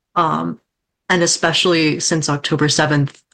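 A woman speaks with an American accent at a very deep, low pitch. The background is quiet. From Southwest Washington, US. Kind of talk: panel discussion.

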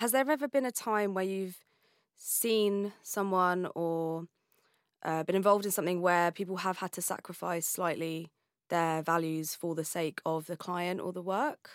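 A woman with an ordinary speaking voice talks at a moderate pace with ordinary pitch variation, recorded dry and close with no echo, very clean, against a silent background. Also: medium pitch for a woman. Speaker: podcast host. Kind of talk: interview conversation.

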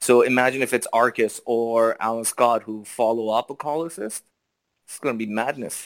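A man with a Canadian accent and a normal speaking voice talks at medium pitch and a moderate pace, with fairly even intonation and big swings in loudness, in a dry, close sound with no echo. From Canada, Toronto. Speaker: mobile game player guest. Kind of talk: casual chat.

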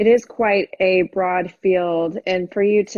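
A woman's medium-pitched, ordinary speaking voice, fairly slow in pace and fairly even in intonation. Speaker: podcast host. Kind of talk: interview.

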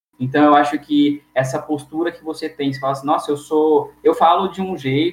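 This is a man's voice. His pitch is fairly high. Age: 20s. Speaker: architecture student. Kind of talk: interview. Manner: halting.

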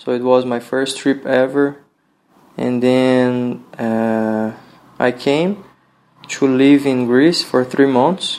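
Speaking at a very slow pace with long, frequent pauses, a man with a Brazilian accent keeps a medium pitch and fairly even intonation. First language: Portuguese. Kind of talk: casual interview conversation. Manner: relaxed, friendly.

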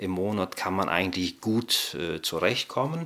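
A man's fairly low voice at a very slow pace. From Kazakhstan, raised in Germany from childhood. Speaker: director of studies at a Bible seminary. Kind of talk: interview.

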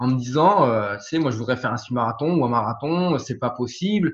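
Very fast speech comes from a man with a fairly high pitch. His voice is somewhat breathy. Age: 30s. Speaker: firefighter and property investor. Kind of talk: interview testimony. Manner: hesitant, many fillers and repetitions.

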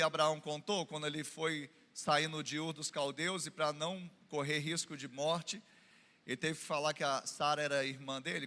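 At a moderate pace, a man speaks in a fairly high pitch with a bright, sharp tone. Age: 40s. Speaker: pastor. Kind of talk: sermon. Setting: church. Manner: animated.

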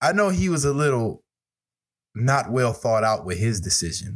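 The somewhat breathy voice comes through on a very clean recording with a silent background. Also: man. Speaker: sports podcast co-host. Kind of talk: casual chat.

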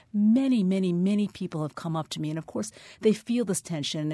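On a very clean recording with a silent background, a woman with a dark, mellow tone speaks at a very fast pace with very wide pitch swings. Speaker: novelist. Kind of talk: radio interview. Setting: radio studio.

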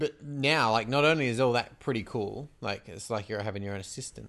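A man speaks at a medium pitch with lively intonation. The background is quiet. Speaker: podcast co-host. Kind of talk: casual chat.

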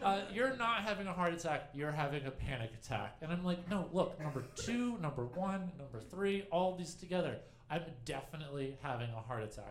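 High-pitched male speech at a fairly quick pace, with very wide pitch swings over noticeable background noise. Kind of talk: stand-up style comic storytelling about a caffeine-induced panic, with a live audience.

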